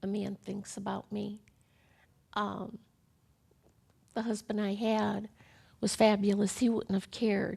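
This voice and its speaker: Dark and mellow in tone, a woman with an American accent speaks at medium pitch and a moderate pace, somewhat breathy and monotone, with long, frequent pauses. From US Midwest, Chicago. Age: 60s. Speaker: breast cancer survivor. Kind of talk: testimony. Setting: studio. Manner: halting.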